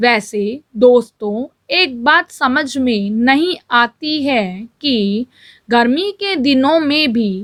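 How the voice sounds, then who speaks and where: A woman speaks in a high voice that swings very widely in pitch. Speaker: shorthand dictation reader. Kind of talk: shorthand dictation read aloud at set speed. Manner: steady, dictation pace, clear.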